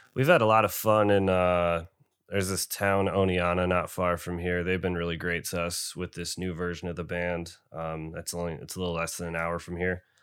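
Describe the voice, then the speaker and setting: A man with an American accent speaks at a very deep, low pitch and a fairly quick pace. His monotone, flat intonation comes through a very clean recording with a silent background. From Binghamton, New York. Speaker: metal band founder and musician. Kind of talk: casual interview chat.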